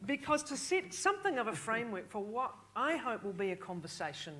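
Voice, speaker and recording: A woman with a medium-pitched, bright, sharp tone talks very fast with hardly any pauses, very wide pitch swings and big swings in loudness. Audible room echo surrounds her voice. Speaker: panel moderator. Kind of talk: moderated panel discussion. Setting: stage with audience.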